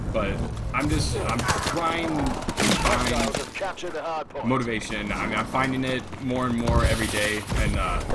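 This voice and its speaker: A man speaks at a fairly slow pace over loud background noise. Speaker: competitive gamer. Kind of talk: gameplay commentary. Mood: reflective, motivational. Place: home room.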